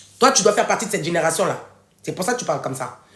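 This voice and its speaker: A woman's pitch swings very widely. Audible room echo surrounds her voice. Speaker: author and live-stream host. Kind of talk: live stream talk to viewers. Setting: live video stream. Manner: loud; animated.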